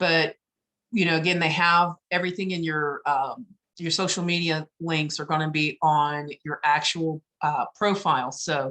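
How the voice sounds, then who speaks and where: A woman's very deep, low voice with a bright, sharp tone and fairly even intonation at a moderate pace, in a dry, close sound with no echo. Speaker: webinar presenter on business marketing. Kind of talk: online webinar tutorial.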